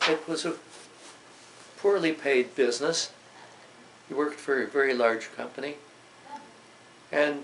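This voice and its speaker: Over noticeable background noise, a man talks at a moderate pace with long, frequent pauses. His voice is fairly high, with fairly even intonation. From Canada, Toronto. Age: 80s+. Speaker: WWII-era elder recounting his life. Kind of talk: oral history interview. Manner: halting, with frequent hesitations.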